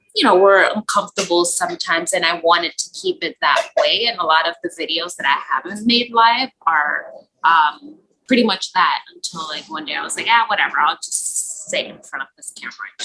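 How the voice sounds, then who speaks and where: Speaking at a fairly quick pace in a Spanish accent, a woman of medium pitch uses lively intonation and big swings in loudness. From Spanish-speaking household. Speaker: cross stitch hobbyist. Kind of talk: interview. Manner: casual with many fillers.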